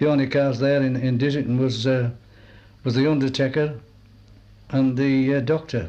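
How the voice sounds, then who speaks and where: In a Cumbrian accent, a man with a medium pitch and a dark, mellow tone talks at a moderate pace with monotone, flat intonation. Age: 70s. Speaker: oral history interviewee. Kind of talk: oral history interview.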